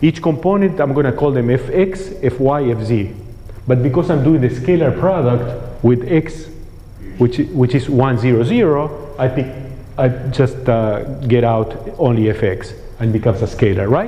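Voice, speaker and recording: With lively intonation and very even loudness, a man talks at a moderate pace and medium pitch, with noticeable background noise and audible room echo. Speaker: physics lecturer. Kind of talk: lecture.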